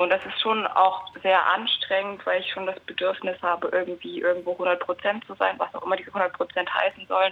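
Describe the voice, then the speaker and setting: Noticeable background noise runs under a woman's voice. She keeps a moderate pace with hardly any pauses. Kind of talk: casual chat. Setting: phone line.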